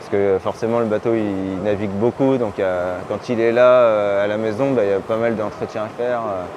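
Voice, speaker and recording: A man's fairly low voice at a moderate pace, with fairly even intonation, hardly any pauses, and noticeable background noise. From Brittany, France. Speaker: dentist and sailor. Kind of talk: casual interview. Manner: halting, many fillers.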